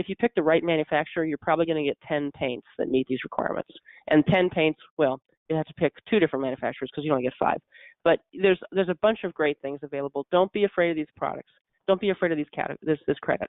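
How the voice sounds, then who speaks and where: Talking at a very fast pace, a woman uses a very deep, low voice with ordinary pitch variation. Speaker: specification writer and product selection consultant. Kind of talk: webinar presentation. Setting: online webinar.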